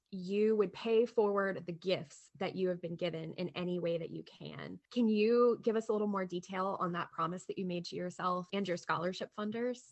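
Here is an ordinary speaking voice, a woman's at medium pitch with fairly even intonation. She keeps a moderate pace with hardly any pauses. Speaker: podcast co-host. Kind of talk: scripted narration.

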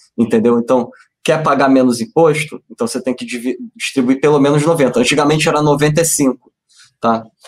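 Ordinary pitch variation and a moderate pace in a plain, everyday voice, a man's, fairly high in pitch. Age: 30s. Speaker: investment analyst. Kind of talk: finance webinar.

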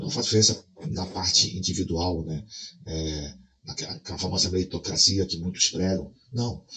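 This man's voice is very deep and low in pitch, with a bright, sharp tone. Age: 40s. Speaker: video creator. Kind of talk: casual vlog monologue.

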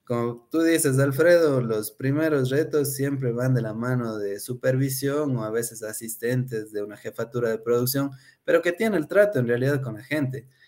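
A man talks in an unremarkable speaking voice at medium pitch. His pace is moderate, with ordinary pitch variation. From Ecuador, Cuenca. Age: 30s. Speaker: food industry production engineer. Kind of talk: interview.

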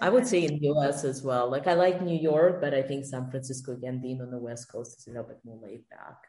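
In a Russian accent, a woman talks very fast at a very deep, low pitch, hardly pausing, with ordinary pitch variation. Her loudness swings widely. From Russia (St. Petersburg), then Israel and Canada. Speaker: podcast guest. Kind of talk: casual interview.

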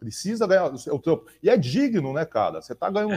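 A man's very fast speech, dark and mellow in tone, with very wide pitch swings over a quiet background. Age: 40s. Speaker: podcast host. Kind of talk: casual chat.

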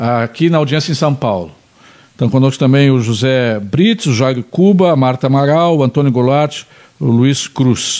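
A man with a normal speaking voice at a medium pitch, his loudness very even. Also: ordinary pitch variation, moderate pace. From Pelotas, Rio Grande do Sul, Brazil. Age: 50s. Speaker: talk show host. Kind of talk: casual interview chat.

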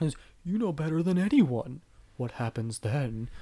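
A man uses a put-on character voice, pitched fairly high for a man, and talks at a fairly slow pace. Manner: menacing, ominous.

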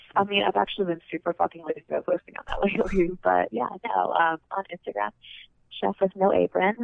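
A woman with a fairly low pitch and vocal fry talks at a fairly quick pace with fairly even intonation, in a dry, close sound with no echo.

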